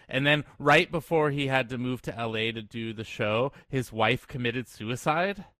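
A man with a medium-pitched, unremarkable speaking voice and ordinary pitch variation. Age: 30s. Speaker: podcast guest. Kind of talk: casual chat.

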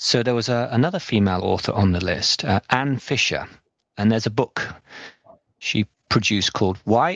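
A man with an English accent speaks at a medium pitch. His intonation is lively and his pace moderate. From England. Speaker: podcast host. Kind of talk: interview.

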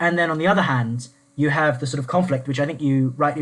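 A man's voice is somewhat breathy. He talks at a very fast pace. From southeast England. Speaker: former constitutional researcher. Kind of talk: panel discussion on politics.

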